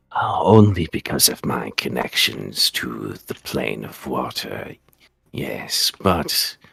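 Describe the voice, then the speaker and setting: A man puts on a character voice at a very deep, low pitch. He speaks at a very slow pace. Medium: actual play. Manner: calm, polite.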